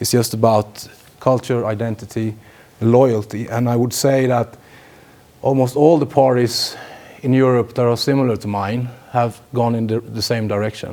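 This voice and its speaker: A man at medium pitch, in a monotone, flat intonation, at a moderate pace. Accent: Swedish. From Sweden. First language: Swedish. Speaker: politician. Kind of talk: lecture. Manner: halting, many fillers.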